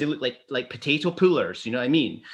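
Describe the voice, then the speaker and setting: This man has a bright, sharp tone and a Glasgow accent. Behind him the background stays quiet. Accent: Scottish (Glasgow). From Scotland, Glasgow. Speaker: photographer. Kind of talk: casual chat.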